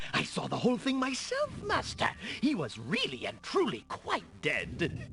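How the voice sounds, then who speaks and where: Over clear background noise, a put-on character voice talks at a moderate pace. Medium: video game. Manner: fawning, eager.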